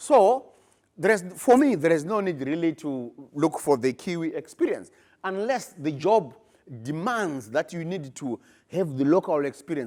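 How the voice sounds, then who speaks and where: Lively intonation at a moderate pace on a very clean recording with a silent background. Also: man. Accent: African. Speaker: postgraduate researcher. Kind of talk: conference presentation.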